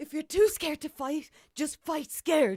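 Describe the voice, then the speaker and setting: A put-on character voice, pitched high, goes at a moderate pace in a very clean recording with a silent background. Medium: voice reel.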